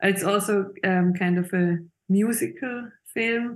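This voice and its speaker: A woman at medium pitch, very slow, with fairly even intonation. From Switzerland, Zurich. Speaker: illustrator and film director. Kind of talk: interview. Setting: video call. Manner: halting.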